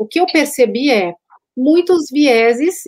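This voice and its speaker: Lively intonation in a woman's high voice. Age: 40s. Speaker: podcast host. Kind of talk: casual interview chat.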